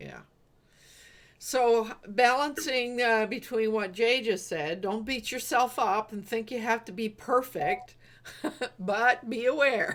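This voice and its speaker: At a very slow pace, a woman with an East Coast Canadian accent and a fairly high pitch speaks with big swings in loudness. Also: ordinary pitch variation. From Eastern Canada. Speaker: business coach, livestream host. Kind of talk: casual group chat.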